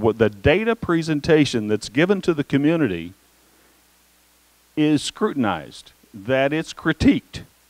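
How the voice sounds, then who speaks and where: A man talks at a moderate pace with a fairly high pitch and very wide pitch swings. The sound is dry and close, with no echo. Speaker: education consultant presenting to school board. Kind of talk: presentation. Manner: halting, many fillers.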